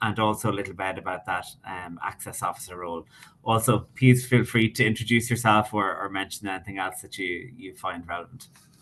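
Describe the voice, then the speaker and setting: Using an Irish accent, a man talks at a fairly low pitch and fairly quick pace with ordinary pitch variation. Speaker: webinar moderator. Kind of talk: panel moderation. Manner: fast.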